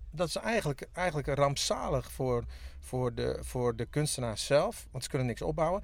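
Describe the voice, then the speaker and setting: A man with a Friesland accent talks at a moderate pace. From Friesland (Makkum). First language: Frisian (speaking Dutch). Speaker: musician. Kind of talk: casual chat. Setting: in a parked tour bus by a pond in a forest.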